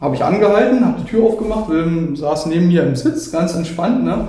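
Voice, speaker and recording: A man's lively, moderately paced speech amid noticeable background noise and audible room echo. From Brandenburg, Germany. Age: 30s. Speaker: dog owner. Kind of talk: casual interview.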